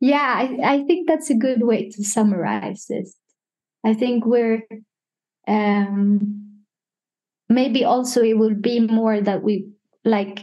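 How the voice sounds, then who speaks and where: A woman with a fairly high pitch and a dark, mellow tone talks very slowly, using ordinary pitch variation and long, frequent pauses. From Sweden, Stockholm. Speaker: digital artist. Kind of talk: casual chat. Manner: hesitant with many fillers.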